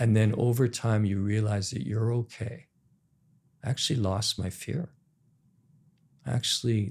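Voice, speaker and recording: Somewhat breathy, a man speaks at a fairly slow pace with long, frequent pauses. His pitch is fairly low, with ordinary pitch variation. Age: 60s. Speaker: entrepreneur. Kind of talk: podcast interview.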